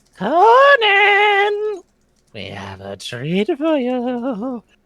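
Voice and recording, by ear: A put-on character voice, high-pitched, at a very slow pace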